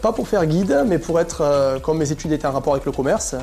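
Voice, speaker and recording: Over music in the background, a man talks very fast at a fairly high pitch with ordinary pitch variation. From southern France. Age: 30s. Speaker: cave tour guide. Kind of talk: interview answer. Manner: casual, hesitant.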